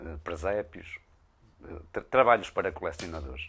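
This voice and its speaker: This man's pitch swings very widely. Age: 60s. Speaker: blacksmith craftsman. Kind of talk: interview. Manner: halting, many hesitations.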